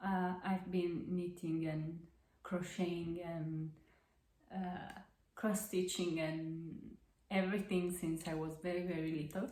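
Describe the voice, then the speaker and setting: A woman with a dark, mellow, somewhat breathy tone and monotone, flat intonation, at a very slow pace with long, frequent pauses, amid audible room echo. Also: fairly low pitch for a woman. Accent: Italian. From central Italy. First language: Italian. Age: 20s. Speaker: crafting podcaster. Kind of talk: casual monologue. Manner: halting, many fillers.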